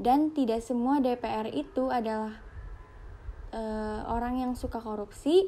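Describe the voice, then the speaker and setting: With a dark, mellow tone, a woman speaks at a fairly high pitch and with ordinary pitch variation. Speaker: psychology student. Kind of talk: class presentation.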